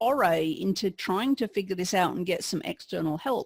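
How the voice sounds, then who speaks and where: A woman speaks with an English accent. Her pace is moderate. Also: dry, close sound with no echo, very clean recording, silent background. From England. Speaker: podcast guest, pastry chef. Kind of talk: interview testimony. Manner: hesitant, with repetitions.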